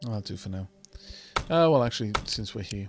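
Reading aloud naturally, the speaker lets the pitch rise and fall in a lively way.

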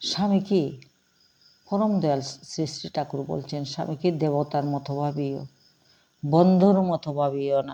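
In a very clean recording with a silent background, a woman speaks with a very deep, low pitch, a dark, mellow tone and ordinary pitch variation. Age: middle-aged. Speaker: religious discourse speaker. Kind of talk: religious talk. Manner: halting.

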